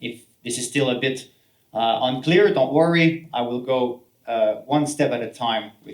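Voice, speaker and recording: A man with a Quebec accent speaks at a medium pitch and a fairly slow pace, with ordinary pitch variation. His loudness swings widely. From French Canada. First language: French. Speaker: healthcare professional and solopreneur. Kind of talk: talk to an audience. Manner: halting, many fillers and repeats.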